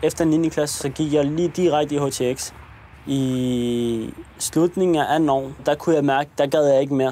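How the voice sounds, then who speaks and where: Noticeable background noise accompanies a man speaking at a moderate pace. His fairly high voice keeps a fairly even intonation. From Copenhagen area, Denmark. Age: 20s. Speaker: young man in documentary. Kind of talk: documentary interview storytelling. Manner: casual, with hesitations.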